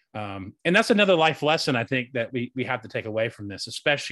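A man with an American accent talks very fast at a medium pitch. His tone is bright and sharp, and the sound is dry and close with no echo. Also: hardly any pauses. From US South, North Carolina. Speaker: podcast co-host being interviewed. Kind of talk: interview.

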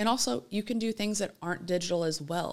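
With an American accent, a woman talks at a fairly quick pace with ordinary pitch variation in a plain, everyday voice. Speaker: marketing director. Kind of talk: interview, podcast conversation.

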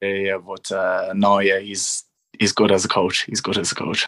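A man with a strong Irish accent, fairly low pitch and a moderate pace. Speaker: young rugby player. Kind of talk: casual interview.

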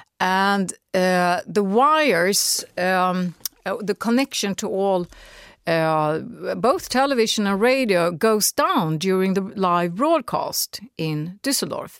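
A woman speaks very slowly in a Swedish accent, with lively intonation. The recording is very clean, with a silent background. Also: medium pitch for a woman. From Sweden. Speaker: radio commentator. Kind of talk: interview. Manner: animated; halting.

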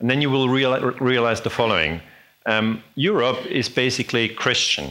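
A man with a German accent at a moderate pace, medium-pitched with a bright, sharp tone and vocal fry, very even in loudness, with long, frequent pauses. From Switzerland. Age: 40s. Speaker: historian. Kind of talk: lecture. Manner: halting.

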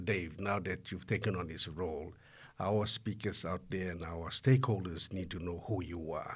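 The voice has a somewhat breathy quality. It belongs to a man. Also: very clean recording, silent background. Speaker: podcast host. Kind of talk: podcast hosting.

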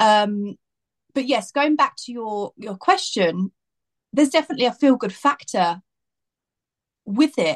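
Pausing long and often, a woman with an English accent speaks fairly slowly in a fairly high pitch, her pitch swinging very widely and her loudness in big swings. The sound is dry and close, with no echo. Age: 30s. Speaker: makeup artist. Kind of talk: casual chat. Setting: video call.

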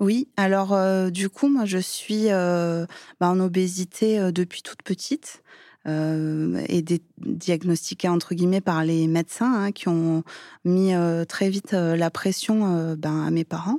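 A woman with a dark, mellow tone at a fairly low pitch, very slow pace and ordinary pitch variation, in a very clean recording with a silent background and a dry, close sound with no echo. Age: 30s. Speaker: schoolteacher sharing personal story. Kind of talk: testimony. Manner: hesitant, many fillers.

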